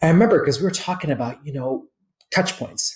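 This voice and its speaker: A somewhat breathy man's voice at a very fast pace. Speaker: travel company president. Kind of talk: interview podcast. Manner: animated.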